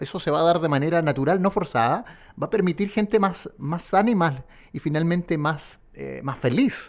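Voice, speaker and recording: Here a man speaks with a high pitch and lively intonation. His pace is moderate. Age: 40s. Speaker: radio host. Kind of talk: radio interview. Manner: halting, repeats words.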